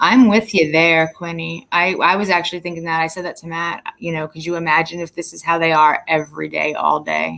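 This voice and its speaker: A woman speaks at a moderate pace. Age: 50s. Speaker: livestream host. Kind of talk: casual chat.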